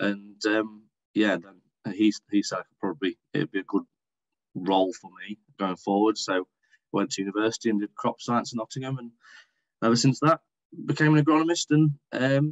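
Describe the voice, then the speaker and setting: With a Derbyshire accent, a man at medium pitch speaks at a moderate pace with lively intonation, long, frequent pauses and big swings in loudness. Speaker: agronomist and dairy farmer. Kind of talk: podcast interview.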